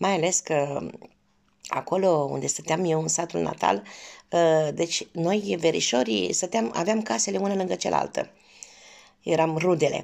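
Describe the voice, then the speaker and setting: A woman with a fairly low pitch and vocal fry speaks fairly slowly, her pitch swinging very widely, with long, frequent pauses against a quiet background. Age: 50s. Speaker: cooking vlogger. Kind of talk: personal storytelling. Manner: warm, affectionate. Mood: warm, nostalgic. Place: home room. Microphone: phone near.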